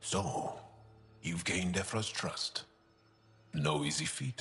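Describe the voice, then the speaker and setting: Using a put-on character voice, a man speaks at a fairly slow pace with a very deep, low pitch. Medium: video game. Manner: relaxed, candid.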